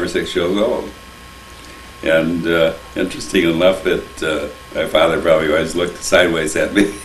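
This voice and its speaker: A man with an American accent talks at a fairly quick pace. Audible room echo and noticeable background noise fill the recording. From US Midwest, Toledo, Ohio. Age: 80s+. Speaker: interviewee recalling family history. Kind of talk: oral history interview.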